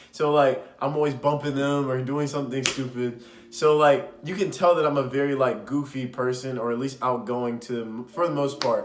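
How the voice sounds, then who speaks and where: A man with a fairly high pitch talks at a moderate pace, with hardly any pauses. Audible room echo and noticeable background noise are present. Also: ordinary pitch variation. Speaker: podcast host. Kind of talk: casual advice talk. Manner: loud; animated.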